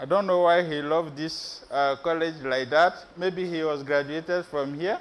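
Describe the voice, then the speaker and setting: A man with a West African accent, fairly even intonation and hardly any pauses. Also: fairly high pitch for a man, moderate pace. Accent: French-speaking West African. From Benin, West Africa. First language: French. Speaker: PhD researcher, conference speaker. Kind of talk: conference presentation. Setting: stage with audience. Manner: hesitant, many fillers.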